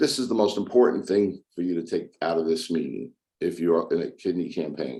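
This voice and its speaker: A man with a very deep, low pitch and vocal fry speaks at a fairly quick pace. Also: lively intonation. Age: 60s. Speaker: kidney patient speaker. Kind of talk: prepared speech.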